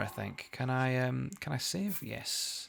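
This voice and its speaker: Noticeable background noise is present throughout. Someone talks over it at a very slow pace. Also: man. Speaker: video game streamer. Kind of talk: live gameplay stream chat. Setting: live stream. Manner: hesitant, many repetitions and fillers.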